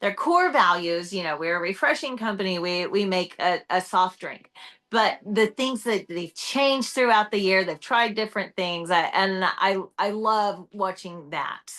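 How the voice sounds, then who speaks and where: Loud and bright with a sharp tone, a woman speaks fairly slowly with lively intonation. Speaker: entrepreneur and personal brand speaker. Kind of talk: casual chat. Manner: loud, outgoing.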